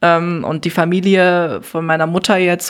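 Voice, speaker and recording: Vocal fry runs through this woman's speech. Her pitch is fairly low. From Neuss, Rhineland, Germany. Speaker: artist and podcaster. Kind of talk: casual interview. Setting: hotel room.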